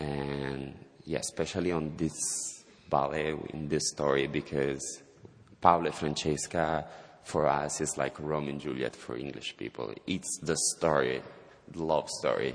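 A man speaks with an Italian accent in a very deep, low pitch with vocal fry. His intonation is flat and monotone, and his pace fairly slow. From southern Italy, Calabria. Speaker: ballet dancer. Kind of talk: interview. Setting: stage with audience.

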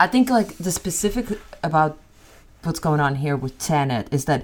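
A woman speaks with a very deep, low pitch and lively intonation in a very clean recording with a silent background. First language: not English. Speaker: podcast co-host. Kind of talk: casual chat.

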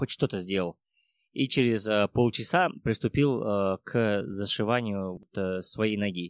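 A man's fairly low voice at a very slow pace, ordinary pitch variation, dry and close with no echo, on a very clean recording with a silent background. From Kazakhstan. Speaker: mountaineer. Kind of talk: interview. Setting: cafe.

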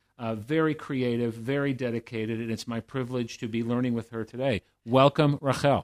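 Here a man uses a normal speaking voice at a medium pitch. His pace is fairly quick. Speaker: podcast host. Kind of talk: interview.

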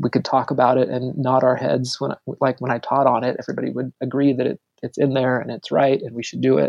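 A man talks at a very fast pace with vocal fry and a fairly even intonation. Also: medium pitch for a man. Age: 40s. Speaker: pastor. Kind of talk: casual chat.

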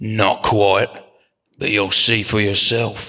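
A man does a raspy put-on character voice, fairly low in pitch, monotone and flat, at a very slow pace. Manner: hushed, wary.

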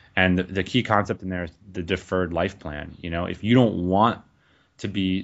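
Very deep, low male voice at a fairly quick pace, the intonation fairly even. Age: 30s. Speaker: entrepreneur, podcast co-host. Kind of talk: interview conversation.

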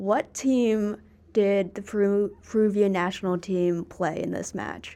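At a fairly slow pace, a woman speaks with an American accent and a medium pitch. Hers is an unremarkable speaking voice with fairly even intonation. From United States. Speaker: podcast host. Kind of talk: casual interview. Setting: studio.

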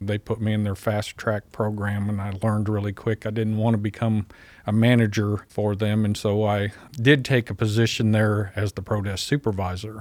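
Using monotone, flat intonation and an American accent, the speaker goes at a moderate pace in a very clean recording with a silent background. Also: man, fairly low pitch for a man. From Southern California, East LA; teens in Missouri. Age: 50s. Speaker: pest control business owner. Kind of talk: interview. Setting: studio.

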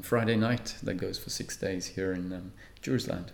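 Calm in tone, a man with an Australian accent speaks at a very deep, low pitch with vocal fry and fairly even intonation. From Australia (Perth), born in Malta. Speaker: spiritual teacher and speaker. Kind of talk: interview. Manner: calm, measured with frequent filler pauses.

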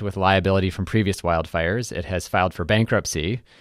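A man uses a normal speaking voice, fairly low in pitch with fairly even intonation, on a very clean recording with a silent background. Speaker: co-director of a nonprofit, energy policy expert. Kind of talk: casual discussion.

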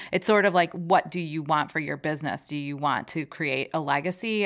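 The recording is very clean, with a silent background. The speaker's pitch moves with ordinary variation. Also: woman. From former Soviet Union, raised in Chicago. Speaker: food company CEO.

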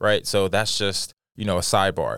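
The recording is very clean, with a silent background. On it, a man talks at a fairly quick pace. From Dallas, Texas. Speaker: podcast host and diversity consultant. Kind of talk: casual chat. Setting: studio. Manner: animated.

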